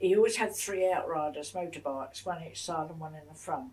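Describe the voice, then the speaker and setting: A woman talks with a southern English accent. Her pitch is fairly low and somewhat breathy. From England, Broadwater Down. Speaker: war-time civilian witness. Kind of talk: interview answer. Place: home room.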